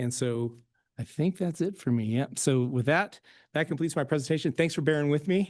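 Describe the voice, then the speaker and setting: Against a quiet background, a man talks at a fairly quick pace with a fairly high pitch and ordinary pitch variation. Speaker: state agency presenter. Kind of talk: presentation. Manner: fast.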